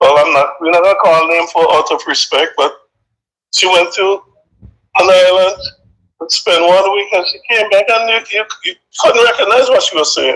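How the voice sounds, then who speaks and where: A man with an American accent talks at a moderate pace, pausing often and at length. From Saint Vincent. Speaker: caller. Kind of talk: casual chat. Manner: halting.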